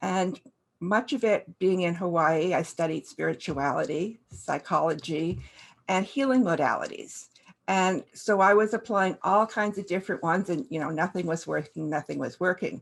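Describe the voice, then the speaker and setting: Vocal fry from a woman with ordinary pitch variation, over a quiet background. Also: medium pitch for a woman, moderate pace. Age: 60s. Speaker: life coach. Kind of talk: motivational talk. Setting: stage at a summit. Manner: halting with fillers.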